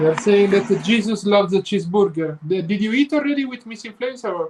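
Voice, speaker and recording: A man with an Italian accent talks at a fairly quick pace in a high voice, with ordinary pitch variation. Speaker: travel vlogger. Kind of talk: live stream chat.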